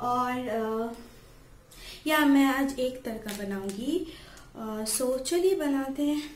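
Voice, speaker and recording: Over light background noise and audible room echo, a woman speaks at a very slow pace with high pitch. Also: ordinary pitch variation. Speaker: home cook vlogger. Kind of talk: casual cooking tutorial. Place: kitchen. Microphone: phone near.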